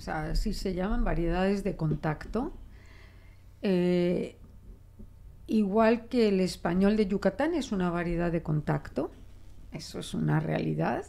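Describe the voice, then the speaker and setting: In a Mexican accent, this dark, mellow voice moves through long, frequent pauses. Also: woman, medium pitch for a woman, ordinary pitch variation, fairly slow pace. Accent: Spanish accent with Mexican features. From Spain. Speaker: linguist; guest. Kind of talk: interview. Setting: radio studio. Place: studio. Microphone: studio mic.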